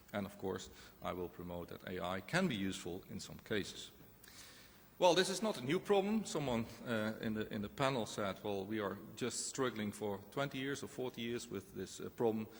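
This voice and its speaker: A Dutch accent at a moderate pace with lively intonation. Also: man, medium pitch for a man. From Netherlands. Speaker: professor. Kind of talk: conference presentation.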